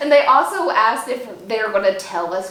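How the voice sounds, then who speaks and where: Over noticeable background noise and audible room echo, a woman with a strong Southern US accent speaks at a fairly high pitch with lively intonation. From Alabama, US South. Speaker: stand-up comedian. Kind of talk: casual chat.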